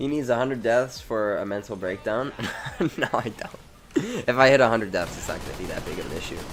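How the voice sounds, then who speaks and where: A man at a fairly quick pace, with ordinary pitch variation, big swings in loudness and noticeable background noise. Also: medium pitch for a man. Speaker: gaming streamer. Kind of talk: live gameplay commentary. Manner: casual, stammering over words.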